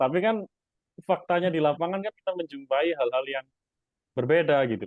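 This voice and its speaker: Speaking at a fairly quick pace, a man with a fairly high pitch varies his pitch in an ordinary way while his loudness swings widely. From East Java, Indonesia. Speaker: stock investor and YouTuber. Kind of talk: interview. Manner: casual, hesitant with fillers.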